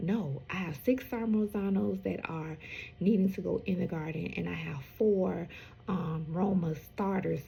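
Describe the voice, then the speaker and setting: A woman's fairly low voice with vocal fry, a dark, mellow tone and lively intonation. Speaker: home gardener, channel host. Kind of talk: casual vlog talk. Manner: hesitant, many fillers.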